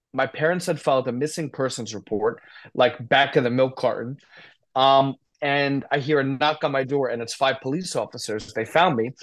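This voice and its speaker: The recording has a quiet background and a man with an American accent. He speaks at a moderate pace with fairly even intonation in an unremarkable speaking voice. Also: fairly high pitch for a man. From US, northern New Jersey. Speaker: addiction recovery advocate. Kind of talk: casual interview, personal story.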